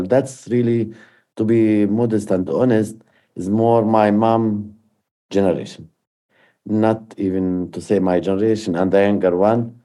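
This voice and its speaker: On a very clean recording with a silent background, a man with an Arabic accent speaks at a fairly slow pace in a dark, mellow tone, his pitch fairly low and his intonation fairly even. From Palestine, Jerusalem area. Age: 50s. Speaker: peace activist. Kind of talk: personal testimony.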